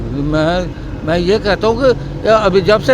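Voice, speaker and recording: Noticeable background noise runs behind a man whose pitch varies in an ordinary way. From Pakistan, Punjab (Rahim Yar Khan). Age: 60s. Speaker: rickshaw driver. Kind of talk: interview. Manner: halting, with repetitions.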